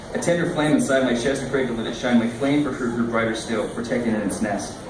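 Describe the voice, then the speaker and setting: A man speaks very fast at a medium pitch, with ordinary pitch variation. There is noticeable background noise. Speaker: slam poet. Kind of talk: poetry reading.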